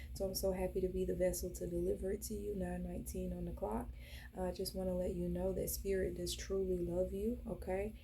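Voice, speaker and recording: A woman's very deep, low voice, fairly quick and fairly even in intonation, with audible room echo and noticeable background noise. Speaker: spiritual reader. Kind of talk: channelled spiritual message. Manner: calm; casual with fillers.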